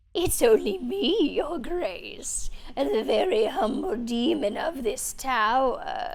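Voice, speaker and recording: A woman puts on a high-pitched character voice, speaking at a very slow pace with hardly any pauses against clear background noise. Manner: fawning, oily.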